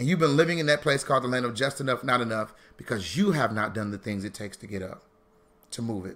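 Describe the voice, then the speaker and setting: A man talks at a fairly quick pace. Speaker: financial educator, founder of a financial literacy school. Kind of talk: motivational live stream talk. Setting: live stream with chat. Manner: loud; fast.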